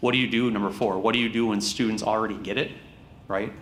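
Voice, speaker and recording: A man with an American accent, fairly low in pitch, talking at a very fast pace amid audible room echo. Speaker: school district administrator presenting test results. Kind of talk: board meeting presentation. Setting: school board meeting. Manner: animated.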